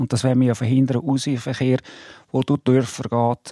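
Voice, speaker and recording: A man speaks at medium pitch with a dark, mellow tone and a monotone, flat intonation. The sound is dry and close with no echo, and his pace is moderate. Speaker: car industry association president. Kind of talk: radio debate. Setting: studio.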